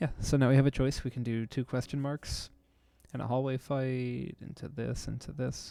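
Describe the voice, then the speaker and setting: Soft-spoken, a man with a dark, mellow tone talks at a medium pitch and moderate pace with fairly even intonation. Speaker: video game streamer. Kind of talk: gameplay tutorial commentary. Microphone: too quiet.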